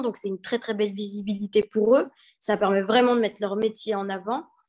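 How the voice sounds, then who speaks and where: A woman with an unremarkable speaking voice, medium pitch and a fairly quick pace. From Belgium. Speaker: entrepreneur, event founder. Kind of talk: interview. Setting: live video stream.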